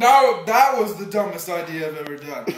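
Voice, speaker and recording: Noticeable background noise is present while someone talks at a moderate pace. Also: man. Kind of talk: casual vlog chat. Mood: regretful, embarrassed, laughing. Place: home room. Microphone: webcam.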